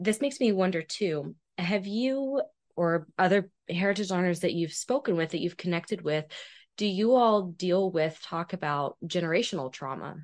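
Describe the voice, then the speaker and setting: Against a quiet background, a woman with a medium pitch speaks at a moderate pace with lively intonation. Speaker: podcast host. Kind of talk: interview. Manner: enthusiastic.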